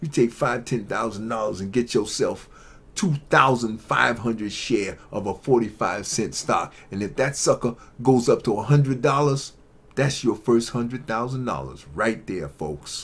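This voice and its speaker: Using vocal fry, a man of medium pitch speaks at a moderate pace in an animated tone with ordinary pitch variation. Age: 60s. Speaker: YouTube commentator on investing and tech. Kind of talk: casual monologue to camera.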